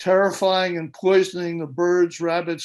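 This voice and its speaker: A high-pitched male voice in a very clean recording with a silent background. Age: 80s+. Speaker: public meeting participant. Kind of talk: public comment. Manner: impassioned.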